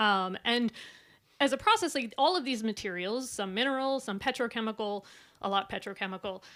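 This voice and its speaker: In a very clean recording with a silent background, a woman with an American accent speaks at a fairly quick pace, her fairly high voice bright and sharp in tone with ordinary pitch variation. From US West Coast, Silicon Valley. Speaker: researcher and artist presenting. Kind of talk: conference presentation. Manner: fast when nervous; hesitant with many fillers.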